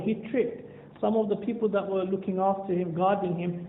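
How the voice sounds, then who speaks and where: At a fairly quick pace, a man talks in a high voice with fairly even intonation. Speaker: Islamic scholar and teacher. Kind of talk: religious talk to a youth audience (seerah story).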